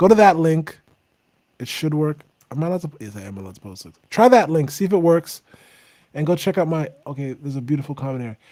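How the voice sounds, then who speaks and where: This man talks very fast at a fairly high pitch with a dark, mellow tone. His pitch swings very widely and his loudness rises and falls sharply. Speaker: singer-songwriter hosting a livestream. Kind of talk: casual livestream chat. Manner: soft-spoken.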